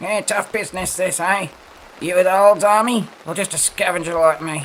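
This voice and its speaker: Putting on a character voice, a man speaks at a high pitch and a moderate pace. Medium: audio drama. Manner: folksy, warm.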